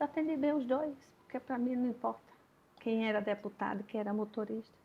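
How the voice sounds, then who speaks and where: Speaking at a fairly quick pace, a woman uses a high pitch. Her pitch variation is ordinary. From Alagoas, Brazil. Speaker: caterer and business owner. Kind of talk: interview. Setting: at her home.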